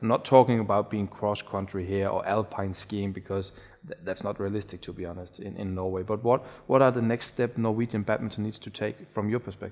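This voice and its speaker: Speaking with a Danish accent, a man uses a fairly low voice at a fairly quick pace. His intonation is fairly even, but his loudness swings widely. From Denmark. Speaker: sports podcast host. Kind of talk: interview. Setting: studio.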